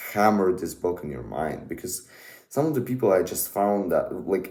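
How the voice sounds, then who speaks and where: A man speaks with a Russian accent in a dark, mellow tone. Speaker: book YouTuber. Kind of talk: casual monologue review. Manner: halting, many fillers.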